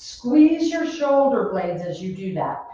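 A woman at a fairly slow pace, in a room with strong echo. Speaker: fitness instructor. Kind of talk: workout instruction. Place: gym. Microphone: webcam.

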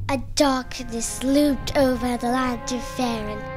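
Loud music plays in the background as a woman talks at a moderate pace in a high pitch. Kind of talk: epic fantasy narration.

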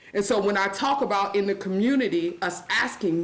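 In a room with audible echo, a woman of medium pitch talks with lively intonation. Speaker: public commenter, juvenile corrections worker. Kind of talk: public comment at council meeting. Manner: fast.

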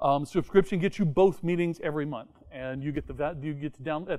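A man is speaking, his pitch varying in an ordinary way. Behind him, the background is quiet. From Tennessee. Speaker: software conference speaker; conference speaker. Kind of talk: technical talk. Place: meeting room. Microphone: lapel.

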